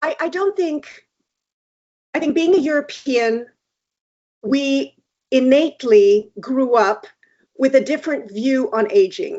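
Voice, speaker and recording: A woman with a high pitch talks at a fairly slow pace, her voice swinging very widely in pitch, with long, frequent pauses. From Switzerland. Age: 60s. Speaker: beauty industry expert. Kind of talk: interview conversation.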